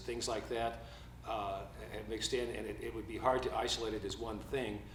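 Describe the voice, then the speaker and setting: Noticeable background noise and audible room echo surround a man speaking fairly quickly. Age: 70s. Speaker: sports radio play-by-play broadcaster. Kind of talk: press conference. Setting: press conference. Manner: halting, many fillers.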